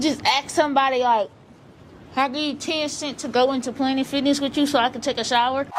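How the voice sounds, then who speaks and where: Very fast speech over noticeable background noise. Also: woman. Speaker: vlogger. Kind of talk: vlog narration.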